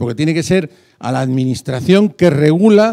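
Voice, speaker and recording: A man speaks fairly slowly in a fairly high voice that is dark and mellow, with lively intonation. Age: 60s. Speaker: audience member asking a question. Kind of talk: question from the floor at a conference.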